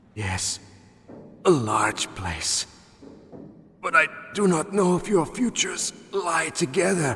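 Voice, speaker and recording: Putting on a character voice, a man speaks at a high pitch and a fairly slow pace, leaving long, frequent pauses. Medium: video game.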